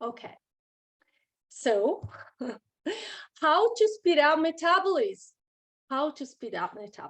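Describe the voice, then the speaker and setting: A woman speaks at an extremely high pitch and a fairly slow pace, her pitch swinging very widely and her loudness rising and falling sharply, with long, frequent pauses. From Italy. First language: Italian. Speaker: nutritionist. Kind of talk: online presentation. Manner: halting.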